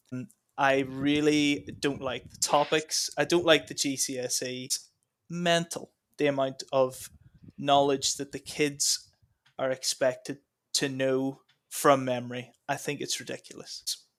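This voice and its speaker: The speaker, with an American accent, talks at a fairly slow pace in a monotone, flat intonation. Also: man, fairly high pitch for a man. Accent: Northern Irish, often mistaken for American. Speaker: trainee history teacher. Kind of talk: casual chat.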